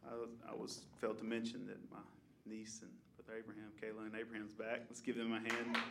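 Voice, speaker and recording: With a Southern US accent, a man at medium pitch speaks at a very fast pace in a monotone, flat intonation, his loudness swinging widely. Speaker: worship leader or pastor. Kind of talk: church service announcements and worship leading. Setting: church.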